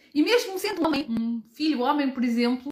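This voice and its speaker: A woman speaks with a dry, close sound with no echo. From Portugal. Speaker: podcast host, brand founder. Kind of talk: live stream motivational talk. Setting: live stream with viewer comments.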